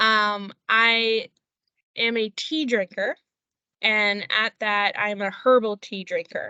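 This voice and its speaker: The speaker has a Philadelphia accent and talks at a very slow pace. Intonation stays fairly even. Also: woman. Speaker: company employee. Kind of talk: podcast interview.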